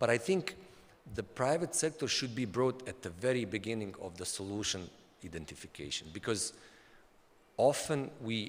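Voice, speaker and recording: At a moderate pace, a man with a Bosnian accent speaks with very wide pitch swings and long, frequent pauses. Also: medium pitch for a man. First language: Bosnian/Serbian. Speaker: development agency official. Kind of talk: conference talk. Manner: halting, with frequent repetitions.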